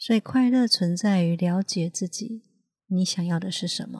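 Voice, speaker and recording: Somewhat breathy, the voice has a calm, gentle tone and a fairly slow pace. The sound is dry and close, with no echo. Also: woman. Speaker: healer and podcast host. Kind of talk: reflective monologue. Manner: calm and gentle.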